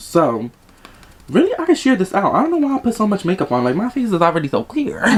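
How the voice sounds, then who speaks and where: Someone speaks at a very fast pace over noticeable background noise. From Dominican family in the US. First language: Spanish. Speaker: beauty vlogger. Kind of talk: casual storytime during makeup tutorial. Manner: casual, rambling.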